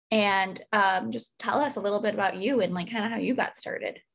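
Somewhat breathy, a woman talks at a medium pitch with ordinary pitch variation. Her pace is fairly quick. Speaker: podcast host. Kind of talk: casual interview.

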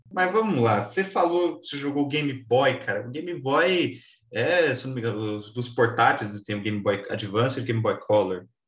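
A somewhat breathy man at a moderate pace, with very wide pitch swings and hardly any pauses. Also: medium pitch for a man. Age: 20s. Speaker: podcast host. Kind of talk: casual chat.

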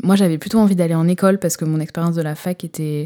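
A woman speaks in a flat monotone at a fairly low pitch, her tone dark and mellow. The recording is very clean and dry, close-up with no echo and a silent background. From northern France, Lille. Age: 20s. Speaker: podcaster. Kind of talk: casual monologue. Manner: hesitant.

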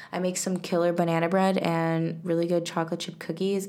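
A woman's fairly low, monotone voice with an American accent at a fairly quick pace, amid noticeable background noise and audible room echo. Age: 20s. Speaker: podcast host. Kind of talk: casual chat.

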